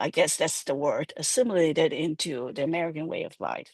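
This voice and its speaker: A woman's fairly low voice with a slight Hong Kong accent, against a quiet background. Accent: slight Hong Kong Chinese. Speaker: urban planner. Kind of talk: panel discussion. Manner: halting.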